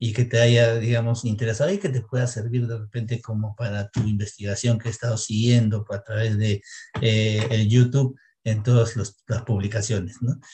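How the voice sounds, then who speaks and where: With a dark, mellow tone and a somewhat breathy quality, a man speaks at a medium pitch in a monotone, flat intonation. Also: moderate pace. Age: 60s. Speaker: dentist. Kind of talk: interview.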